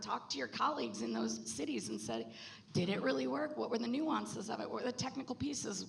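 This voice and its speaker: A woman speaks over noticeable background noise. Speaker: panelist on circular construction policy. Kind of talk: panel discussion. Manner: fast; animated.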